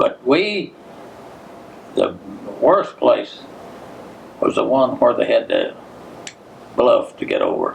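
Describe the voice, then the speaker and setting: There is noticeable background noise behind a man's voice. He speaks at a very slow pace with long, frequent pauses. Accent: American. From Giles County, Tennessee. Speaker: World War II veteran. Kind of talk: oral history interview answer.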